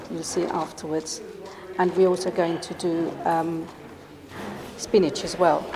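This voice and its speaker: Amid noticeable background noise and audible room echo, a woman with a fairly low pitch speaks in a monotone, flat way at a fairly slow pace, with long, frequent pauses. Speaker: cooking demonstrator. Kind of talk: cooking demonstration.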